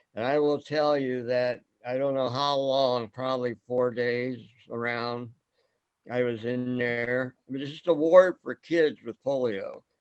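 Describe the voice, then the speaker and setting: A man in a Midwestern American accent, at a fairly slow pace. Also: medium pitch for a man, fairly even intonation. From US Midwest, Fort Wayne, Indiana. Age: 70s. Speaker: forum host. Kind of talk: casual group discussion. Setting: video call.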